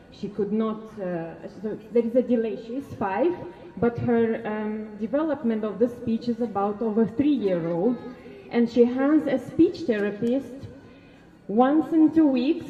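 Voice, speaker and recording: A woman's high-pitched voice with a Russian accent, fairly slow pace and ordinary pitch variation, over music in the background. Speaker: parent speaking at a protest. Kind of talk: public speech at a protest. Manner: halting.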